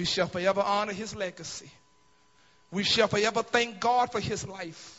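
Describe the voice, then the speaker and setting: Light background noise sits behind a man with a high pitch. He speaks at a moderate pace with fairly even intonation. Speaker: bishop delivering a eulogy. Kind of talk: funeral eulogy, preaching. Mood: solemn, emotional, rousing. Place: hall. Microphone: handheld.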